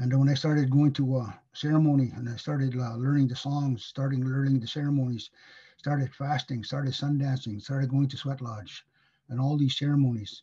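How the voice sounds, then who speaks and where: Against a quiet background, a man speaks at a fairly quick pace, somewhat breathy, with a dark, mellow tone and monotone, flat intonation. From northern Manitoba, Cree First Nation. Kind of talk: educational talk. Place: home room. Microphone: webcam.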